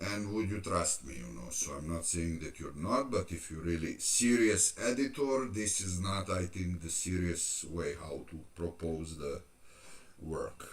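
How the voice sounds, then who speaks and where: This man's voice is very deep and low, and somewhat breathy. He talks at a fairly slow pace with lively intonation. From Serbia. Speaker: fitness youtuber. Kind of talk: live stream Q&A. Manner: halting.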